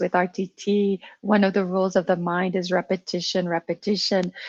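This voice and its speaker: A woman with a French accent, her voice dry and close with no echo, against a quiet background. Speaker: coaching client. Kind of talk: coaching session conversation. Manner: halting.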